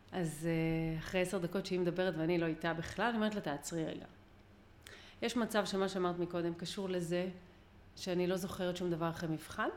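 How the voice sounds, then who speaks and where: Talking at a fairly quick pace, a woman with a fairly low pitch leaves long, frequent pauses. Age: 40s. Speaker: mind-mapping lecturer. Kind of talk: interview. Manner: energetic.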